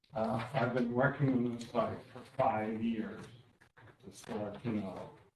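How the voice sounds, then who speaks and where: A man speaks at a medium pitch in a monotone, flat intonation. Audible room echo surrounds the voice. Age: 80s+. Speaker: architect. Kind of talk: public hearing presentation.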